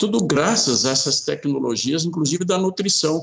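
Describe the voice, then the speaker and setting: Here a man speaks at a moderate pace. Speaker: forestry consultant. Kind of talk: interview.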